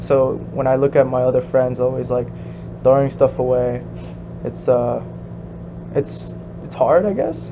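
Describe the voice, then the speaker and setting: A man with a Korean accent talks at a fairly slow pace, leaving long, frequent pauses. Background noise is noticeable. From US, second-generation Korean immigrant. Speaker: interviewee, second-generation immigrant. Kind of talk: casual interview. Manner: hesitant, many fillers.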